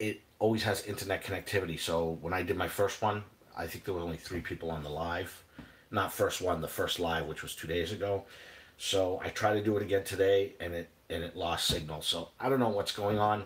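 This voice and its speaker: A man's very deep, low voice, somewhat breathy, with fairly even intonation and a fairly quick pace. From New England, Boston area. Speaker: cooking vlogger. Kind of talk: live stream cooking chat. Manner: casual, halting with fillers.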